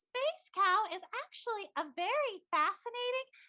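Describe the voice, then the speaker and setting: A female-sounding put-on character voice with a cheerful tone. She speaks at a fairly slow pace. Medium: game stream. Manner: peppy, cheerful.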